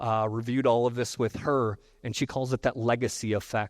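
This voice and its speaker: At a fairly quick pace, a man speaks at medium pitch with fairly even intonation. The recording is very clean and dry, close, with a silent background and no echo. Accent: Midwestern. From US Midwest. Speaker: technology presenter. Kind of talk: conference presentation.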